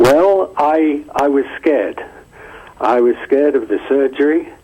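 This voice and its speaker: Noticeable background noise runs under a man's fairly slow speech. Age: 70s. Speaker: caller. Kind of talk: call-in testimony.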